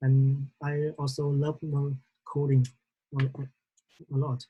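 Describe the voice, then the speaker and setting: In a Vietnamese accent, a woman speaks at a very slow pace, her very deep, low voice somewhat breathy with a dark, mellow tone. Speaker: trainee. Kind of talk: class presentation. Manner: halting.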